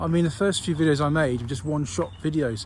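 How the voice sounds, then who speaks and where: Vocal fry runs through this very fast speech, with audible room echo. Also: man. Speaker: army veteran vlogger. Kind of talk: casual vlog. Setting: outdoors, walking with dog. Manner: halting, many ums and ahs.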